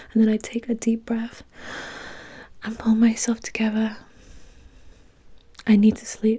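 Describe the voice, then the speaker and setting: A woman is whispering. Her voice is soft-spoken. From UK. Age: 20s. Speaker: ASMR creator. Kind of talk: first-person novel narration, reflective and sad. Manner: soft-spoken, whispery, relaxing.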